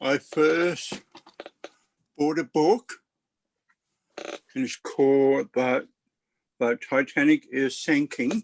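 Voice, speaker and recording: In a dry, close recording with no echo, the speaker talks at a very slow pace with lively intonation and long, frequent pauses. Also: man. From Australia, Brisbane. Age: 50s. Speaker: book club member. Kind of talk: casual chat. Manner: halting.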